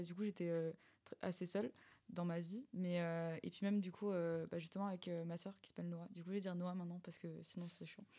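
This woman's voice is fairly low, with a dark, mellow tone. Her intonation is fairly even. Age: young (19). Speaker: student. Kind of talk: casual chat.

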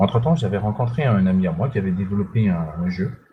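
This man talks at a moderate pace with lively intonation and a fairly low pitch. His tone is dark and mellow, and somewhat breathy. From Central African Republic. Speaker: indie game developer. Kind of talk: interview.

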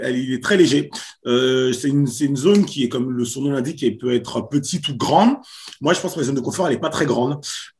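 A man talks at a very fast pace with a fairly high pitch and ordinary pitch variation. His voice is somewhat breathy. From Paris suburbs (Val d'Oise), France. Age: 30s. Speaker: comedian and show producer. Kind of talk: casual interview. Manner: halting, many repetitions.

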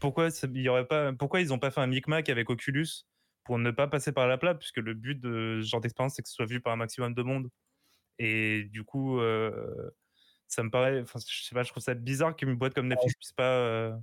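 Speaking at a fairly quick pace, a man uses an unremarkable speaking voice at medium pitch with fairly even intonation. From Portuguese heritage. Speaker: guest panelist. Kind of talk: casual chat.

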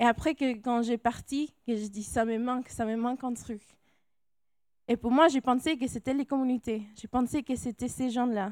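A woman talks at a moderate pace with a high pitch and fairly even intonation. The sound is dry and close with no echo, in a very clean recording over a silent background. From California, Mexican-Salvadoran family. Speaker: missionary. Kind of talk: testimony. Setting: church.

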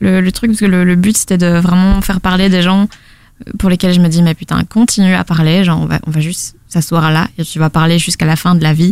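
Delivered at a fairly quick pace with fairly even intonation, this is an unremarkable speaking voice whose loudness stays very even throughout. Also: woman, fairly low pitch for a woman. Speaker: podcast network founder. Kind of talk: interview.

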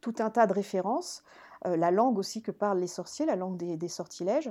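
Lively in her intonation, a woman speaks at a medium pitch with a dark, mellow tone on a very clean recording with a silent background. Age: 50s. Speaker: author and classics lecturer. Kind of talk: podcast interview.

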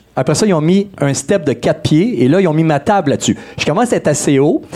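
With lively intonation, a man speaks at a fairly quick pace. Noticeable background noise is present. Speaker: DJ and musician guest. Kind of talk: casual live show interview. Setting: live show with audience in a pub.

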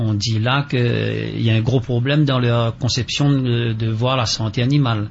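Noticeable background noise sits behind a man speaking at a medium pitch and a fairly slow pace. His intonation stays fairly even. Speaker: farmers' association representative. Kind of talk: radio interview.

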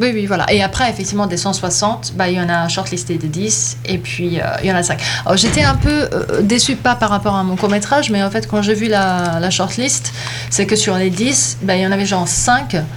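A woman speaks at a moderate pace in a medium pitch with very wide pitch swings, and the recording has audible room echo and noticeable background noise. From Bosnia (Sarajevo), schooled in Germany. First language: Bosnian; best language German (speaking French). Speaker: filmmaker. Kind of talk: casual interview. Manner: hesitant, many fillers.

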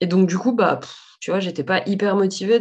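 A woman's ordinary speaking voice at medium pitch, fairly quick, with fairly even intonation. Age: 30s. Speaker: saddle fitter and business owner. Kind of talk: casual interview.

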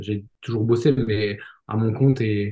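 Somewhat breathy and dark, mellow in tone, a man speaks with fairly even intonation. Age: 30s. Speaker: podcast host, healthcare worker and real estate coach. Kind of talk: casual chat.

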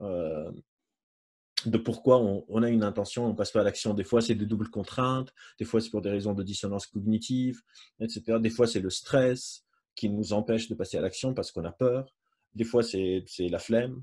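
Dark and mellow in tone, a man talks with fairly even intonation. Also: medium pitch for a man, moderate pace. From Lebanon. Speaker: psychologist and neuroscientist. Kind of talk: lecture. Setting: video call.

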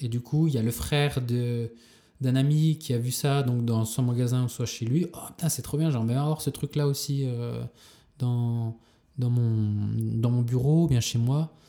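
A man with a dark, mellow tone talks at a medium pitch and a fairly slow pace, his loudness very even. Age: 30s. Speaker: street artist. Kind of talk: casual interview. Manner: halting.

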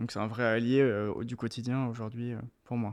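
A man speaks at a medium pitch and a moderate pace. He has an unremarkable speaking voice. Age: 20s. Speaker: shoe designer and brand founder. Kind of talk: interview.

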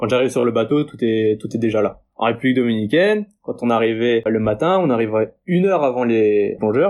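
A man speaks at a moderate pace and medium pitch in a plain, everyday voice. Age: 20s. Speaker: diving instructor. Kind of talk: interview.

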